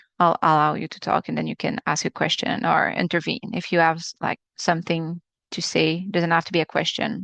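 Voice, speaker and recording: Against a quiet background, a woman speaks at a fairly low pitch with fairly even intonation, and the sound is dry and close with no echo. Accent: Quebec. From Quebec, Canada. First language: French. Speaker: acupuncturist teaching a webinar. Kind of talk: webinar lecture. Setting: live video webinar. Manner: halting, with many fillers.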